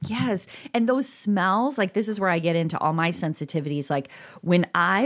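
Using an ordinary speaking voice, a woman with an American accent talks at a moderate pace and a fairly low pitch with ordinary pitch variation, on a very clean recording with a silent background. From northern Illinois. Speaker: podcast co-host, parenting author. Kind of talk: casual chat.

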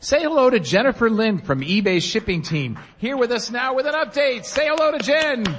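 An extremely high-pitched man with an animated, playful tone and lively intonation, at a fairly quick pace with hardly any pauses, over noticeable background noise. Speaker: radio host. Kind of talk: live radio show banter with audience. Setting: stage with live audience at convention. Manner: animated, playful showman.

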